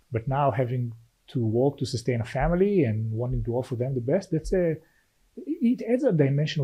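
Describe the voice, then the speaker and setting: Here a man speaks with an Israeli accent. His voice is somewhat breathy, with ordinary pitch variation. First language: Hebrew. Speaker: venture capital investor. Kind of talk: podcast interview. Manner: halting, many repetitions.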